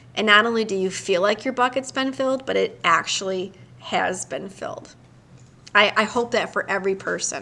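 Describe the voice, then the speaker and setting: A woman with an American accent speaks at a moderate pace and medium pitch, with ordinary pitch variation. Her tone is bright and sharp, with some vocal fry. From Detroit, US Midwest. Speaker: psychologist hosting a live stream. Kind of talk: casual live-stream chat.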